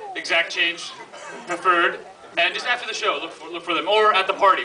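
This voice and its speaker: A man speaks at a very fast pace in a high voice. Light background noise sits behind him. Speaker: event host. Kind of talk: stage announcement. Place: hall.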